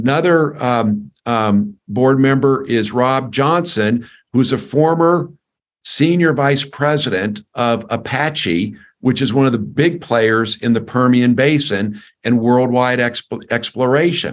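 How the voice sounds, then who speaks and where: A man at medium pitch speaks at a very slow pace, keeping his loudness very even, with ordinary pitch variation. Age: 60s. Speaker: company executive. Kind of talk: interview. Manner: halting, many fillers and repetitions.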